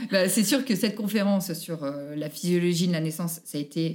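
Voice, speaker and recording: A woman with a dark, mellow tone speaks at a moderate pace in a fairly low pitch with ordinary pitch variation. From France, Haute-Savoie (Annecy). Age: 30s. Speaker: mother telling her birth stories. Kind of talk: interview testimony.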